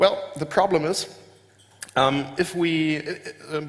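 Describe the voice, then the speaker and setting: With ordinary pitch variation, a man speaks in a German accent. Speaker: software company founder giving a keynote. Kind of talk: conference keynote. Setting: stage with audience. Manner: hesitant, many filler words.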